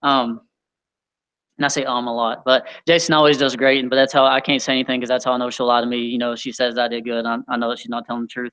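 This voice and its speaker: The speech comes very fast and mumbled, in a flat monotone. The tone is bright and sharp. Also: man, medium pitch for a man. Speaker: youth leader. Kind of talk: sermon. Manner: mumbling.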